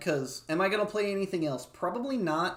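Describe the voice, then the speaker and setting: Speaking at a fairly quick pace, a woman with a medium pitch moves through very wide pitch swings amid audible room echo. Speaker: gaming streamer. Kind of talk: casual chat.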